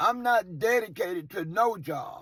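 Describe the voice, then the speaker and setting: An animated tone from a man. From US South, Mobile, Alabama. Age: 60s. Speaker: car detailer. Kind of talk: casual monologue vlog.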